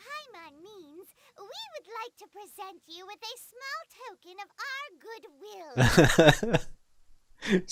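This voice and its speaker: A put-on character voice pitched extremely high moves at a moderate pace. Long pauses break it up often. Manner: haughty, formal.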